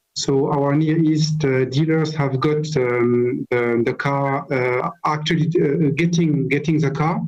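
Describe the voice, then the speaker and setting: A man with a fairly high pitch speaks very slowly in a strong French accent, with hardly any pauses and very even loudness. Noticeable background noise runs underneath. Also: fairly even intonation. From France. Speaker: car company manager. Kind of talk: interview. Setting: video call. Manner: halting.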